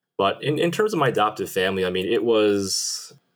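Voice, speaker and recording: Speaking at a moderate pace, a man talks with a Western New York accent. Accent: Western New York American. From Buffalo, New York, US. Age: 30s. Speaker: Korean adoptee guest. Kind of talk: interview.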